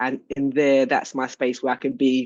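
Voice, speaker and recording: With a London accent, a woman speaks at a fairly slow pace. Her pitch is very deep and low. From London, England. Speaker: business coach and healing practitioner. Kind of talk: self-introduction in group call.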